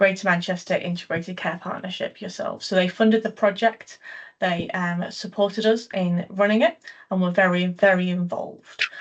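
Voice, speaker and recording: Over a quiet background, a woman talks at a fairly quick pace in a somewhat breathy, medium-pitched voice with fairly even intonation. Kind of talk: online presentation. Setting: video call.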